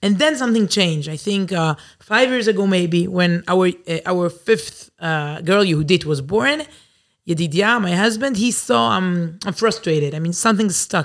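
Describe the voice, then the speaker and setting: On a very clean recording with a silent background, a woman at medium pitch speaks with an Israeli accent, lively intonation and a moderate pace. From Israel, Herzliya. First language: Hebrew. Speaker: journalist and Torah teacher. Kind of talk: interview. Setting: studio.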